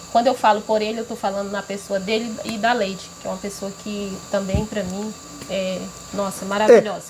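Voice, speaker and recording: Over noticeable background noise, a woman at medium pitch speaks at a moderate pace in a monotone, flat intonation with big swings in loudness. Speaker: local community member. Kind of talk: casual chat to camera.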